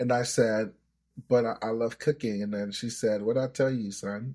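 A man with an American accent uses a normal speaking voice at a medium pitch, moderate pace and fairly even intonation, on a very clean recording with a silent background. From US, arrived from Nigeria at age seven. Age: 30s. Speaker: trader and trading coach. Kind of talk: podcast interview.

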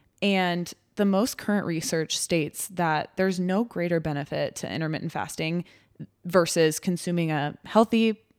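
A woman speaks at a fairly low pitch in a normal speaking voice. The recording is very clean with a silent background. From Texas. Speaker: sports dietitian, podcast co-host. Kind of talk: casual chat.

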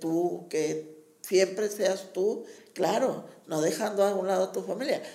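A woman speaks very slowly in a dark, mellow tone with vocal fry and fairly even intonation. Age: old. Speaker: community center teacher and promoter. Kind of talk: interview.

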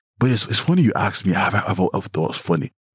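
On a dry, close recording with no echo, a man speaks very fast in a fairly low, somewhat breathy voice with lively intonation. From Nigeria. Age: 20s. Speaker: event promoter and creative. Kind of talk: casual chat.

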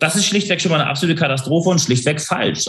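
The voice is somewhat breathy with ordinary pitch variation, heard with audible room echo. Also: man. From northern Germany, Hamburg. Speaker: leadership consultant. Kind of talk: interview conversation.

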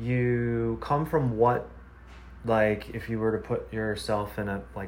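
The delivery comes at a fairly slow pace, with audible room echo. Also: man. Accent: American. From US Midwest. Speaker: podcast host. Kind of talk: casual interview. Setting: video call.

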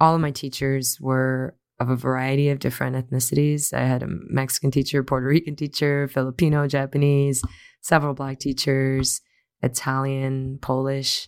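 Speaking at a moderate pace in an American accent, a woman with a very deep, low voice keeps a monotone, flat intonation on a very clean recording with a silent background. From US Midwest, Chicago. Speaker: university diversity officer. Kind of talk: interview.

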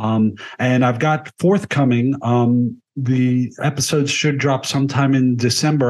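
A man with an American accent talks at a fairly slow pace and medium pitch, with fairly even intonation. It is an ordinary speaking voice over a quiet background. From United States. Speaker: film critic and author. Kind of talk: casual chat.

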